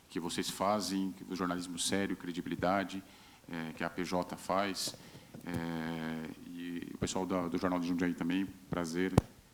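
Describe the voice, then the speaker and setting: A man's very deep, low voice in a São Paulo interior accent, with monotone, flat intonation at a fairly slow pace. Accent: regional São Paulo interior accent, kept. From Brazil, Vale do Ribeira, São Paulo state. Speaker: state communications secretary. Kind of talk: panel discussion. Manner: halting, repeats words.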